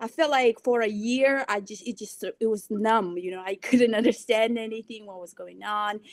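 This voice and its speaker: A woman with a Mongolian accent speaks in a fairly even intonation while her loudness swings widely. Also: fairly high pitch for a woman, moderate pace. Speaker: financial professional. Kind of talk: podcast interview.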